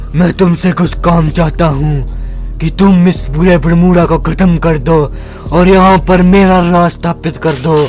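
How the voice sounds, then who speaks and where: A man puts on a character voice pitched high. Clear background noise can be heard. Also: moderate pace. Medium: machinima.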